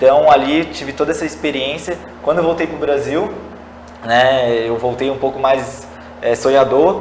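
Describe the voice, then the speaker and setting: Against noticeable background noise, a man speaks at a moderate pace, his fairly high voice holding a fairly even intonation. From Brazil, São José, Santa Catarina. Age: 20s. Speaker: public administration graduate. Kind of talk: interview.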